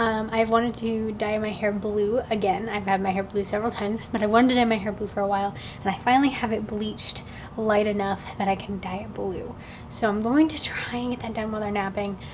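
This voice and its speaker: A woman whispers at a very fast pace. Noticeable background noise runs behind her. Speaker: book vlogger. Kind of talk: casual vlog. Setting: at home, kitchen. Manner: whispering.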